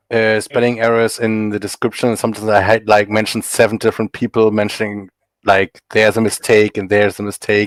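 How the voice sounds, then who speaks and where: Recorded very cleanly against a silent background, a man with a German accent speaks at a fairly low pitch with monotone, flat intonation. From Germany. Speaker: comic artist. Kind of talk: podcast interview.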